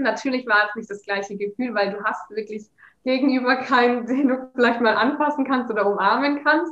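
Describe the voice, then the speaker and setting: A woman with a plain, everyday voice, a fairly high pitch and fairly even intonation. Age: 20s. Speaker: master's student. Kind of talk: casual interview.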